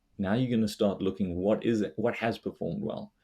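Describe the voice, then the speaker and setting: Over a silent background in a very clean recording, a man with a South African accent speaks in a dark, mellow tone with fairly even intonation. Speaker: investor and finance blogger. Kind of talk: casual interview chat.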